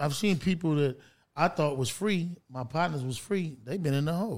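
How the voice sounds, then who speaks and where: An ordinary speaking voice belongs to a man with an American accent, pitched fairly high with ordinary variation. He keeps a moderate pace on a very clean recording with a silent background. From Los Angeles, California. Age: 50s. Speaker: film producer and former gang member. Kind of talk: casual interview.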